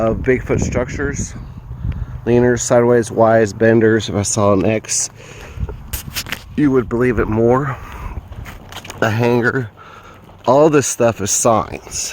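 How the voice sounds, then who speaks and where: Noticeable background noise sits behind a man with a slight Southern US accent. His intonation is fairly even, broken by long, frequent pauses. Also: medium pitch for a man, fairly slow pace. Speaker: amateur bigfoot researcher. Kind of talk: outdoor walkthrough video. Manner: casual, hesitant with fillers.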